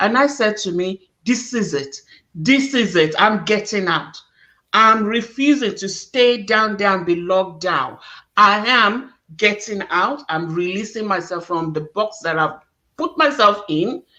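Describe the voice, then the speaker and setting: A woman speaks at a medium pitch and a fairly slow pace, her intonation lively, with music playing in the background. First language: not English. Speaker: talk show host. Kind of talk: interview chat. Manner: animated.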